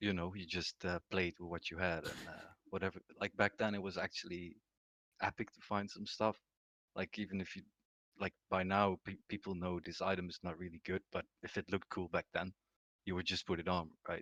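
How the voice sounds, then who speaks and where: A soft-spoken man with a very deep, low pitch talks in a monotone, flat intonation at a moderate pace, the sound dry and close with no echo. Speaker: gaming guild leader. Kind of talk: casual interview.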